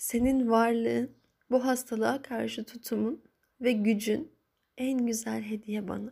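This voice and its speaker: Woman speaking at a fairly slow pace. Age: 30s. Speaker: grieving daughter sharing a personal diary. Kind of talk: personal audio diary monologue. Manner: halting, emotional.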